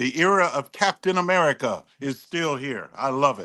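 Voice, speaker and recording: This man's bright, sharp tone carries ordinary pitch variation in a very clean recording with a silent background. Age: 60s. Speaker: political panelist. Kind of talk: panel debate. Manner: halting.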